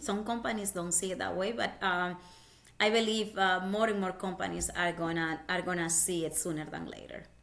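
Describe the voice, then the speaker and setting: With a Dominican accent, a woman talks at a moderate pace and a medium pitch. Her pitch variation is ordinary, and audible room echo comes through. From Dominican Republic. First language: Spanish. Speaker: career coach. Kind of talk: interview. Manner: hesitant, many fillers.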